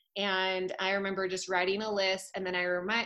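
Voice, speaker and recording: A woman's bright, sharp voice at medium pitch, with an American accent, a moderate pace and a quiet background. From Utah. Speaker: fitness instructor. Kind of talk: casual chat.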